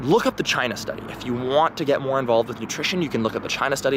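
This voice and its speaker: Lively in his intonation, a man speaks with an American accent over noticeable background noise. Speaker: vlogger. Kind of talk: casual monologue. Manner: hesitant, many fillers.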